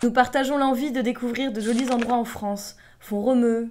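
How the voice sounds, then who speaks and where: Speaking at a moderate pace, the voice shows ordinary pitch variation. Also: woman. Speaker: voice-over narrator. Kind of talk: humorous personal story narration for cartoon. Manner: comic, playful.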